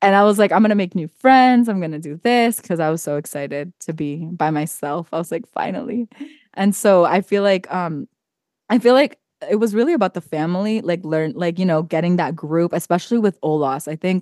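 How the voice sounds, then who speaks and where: In a dry, close recording with no echo, a woman with a plain, everyday voice talks at a fairly quick pace, her medium pitch carrying lively intonation. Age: 20s. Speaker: podcast host. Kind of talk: casual chat.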